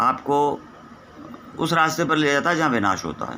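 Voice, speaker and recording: Noticeable background noise accompanies a man speaking at a fairly high pitch. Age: 60s. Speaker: spiritual teacher. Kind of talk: spiritual discourse.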